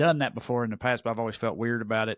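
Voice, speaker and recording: With a Southern US accent, a man is heard in a dry, close sound with no echo on a very clean recording with a silent background. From Tennessee. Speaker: comedian and podcast co-host. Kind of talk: casual chat.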